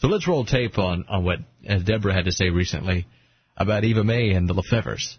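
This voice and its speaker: Fairly low in pitch and somewhat breathy, a man talks at a fairly quick pace. His pitch variation is ordinary and his loudness very even. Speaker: radio host. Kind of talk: radio interview. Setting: studio.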